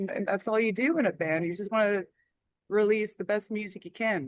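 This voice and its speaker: At a moderate pace, a woman with an American accent speaks at a fairly high pitch with ordinary pitch variation. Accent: Philadelphia accent, returns when home. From US Northeast, Philadelphia area. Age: 50s. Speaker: heavy metal musician. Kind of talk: interview.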